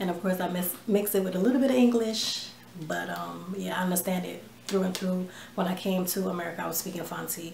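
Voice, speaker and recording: A woman talks at a fairly quick pace. Audible room echo and noticeable background noise accompany her. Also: medium pitch for a woman, ordinary pitch variation. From New York / New Jersey, US (born in Ghana, moved at 3). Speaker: vlogger. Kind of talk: casual chat. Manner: relaxed, many fillers and hesitations.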